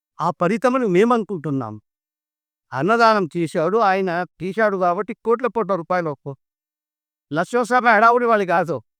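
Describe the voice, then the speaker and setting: A man speaks in a high pitch. His intonation is lively, and the sound is dry and close with no echo. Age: old. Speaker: local elder storyteller. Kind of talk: interview answer.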